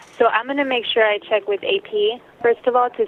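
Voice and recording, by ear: A woman at a fairly quick pace with little pitch movement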